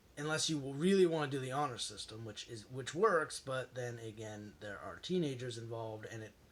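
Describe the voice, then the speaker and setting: A man speaks at a fairly quick pace with hardly any pauses, ordinary pitch variation and big swings in loudness. Noticeable background noise runs underneath. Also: medium pitch for a man. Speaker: accessibility advocate and YouTuber. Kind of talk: casual vlog talk. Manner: fast; halting, many restarts.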